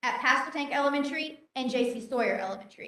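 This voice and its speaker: A raised, projected voice moves at a fairly quick pace with audible room echo. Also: woman. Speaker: teacher. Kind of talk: presentation. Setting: board meeting. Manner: loud.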